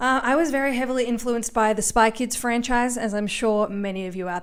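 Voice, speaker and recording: In an Australian accent, the speaker talks at a fairly quick pace. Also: woman. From Australia, Melbourne. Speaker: comedian and podcast host. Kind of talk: solo podcast monologue. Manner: animated.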